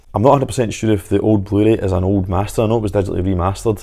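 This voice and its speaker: A man with a Scottish accent speaks very fast in a fairly low, dark, mellow voice with fairly even intonation. The recording is very clean, with a silent background. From Scotland. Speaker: home media reviewer. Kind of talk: product review to camera.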